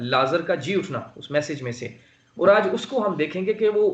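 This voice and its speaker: This is a man speaking. His voice sits at a high pitch. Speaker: preacher. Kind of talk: sermon preaching to a congregation. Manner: passionate, emphatic.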